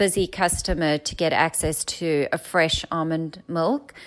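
In a South African accent, a woman speaks at a fairly slow pace. Her pitch varies in an ordinary way on a very clean recording with a silent background. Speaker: founder of a plant-milk company. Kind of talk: casual interview.

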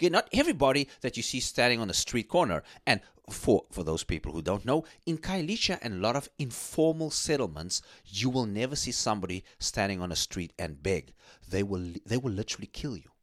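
Talking at a fairly quick pace, a man with a medium-pitched voice sounds animated and swings his pitch very widely. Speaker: radio host. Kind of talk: casual chat.

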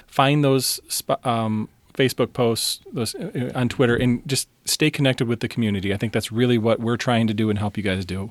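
A man with an American accent talks at a fairly quick pace in an unremarkable speaking voice. His medium pitch shows ordinary variation, in a dry, close sound with no echo. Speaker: podcast host, psychologist and youth coach. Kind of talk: casual chat.

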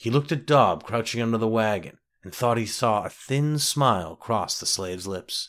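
Plain reading aloud is heard over a quiet background.

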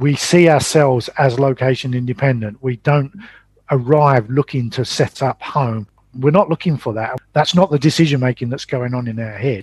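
A man's somewhat breathy voice at medium pitch, with an English accent. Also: ordinary pitch variation, moderate pace, dry, close sound with no echo. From England. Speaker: traveling parent and entrepreneur. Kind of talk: interview.

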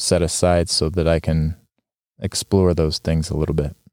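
A man with a Western US accent speaks in a dark, mellow tone. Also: dry, close sound with no echo. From Utah. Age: 40s. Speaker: podcast host. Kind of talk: solo podcast monologue. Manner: casual, with filler ums and restarts.

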